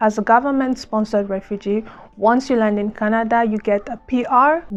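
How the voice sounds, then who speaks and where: Over a quiet background, a woman speaks at a fairly quick pace. Her pitch is fairly high, with fairly even intonation. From Democratic Republic of Congo. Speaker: vlogger, former refugee. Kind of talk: casual vlog talk to camera.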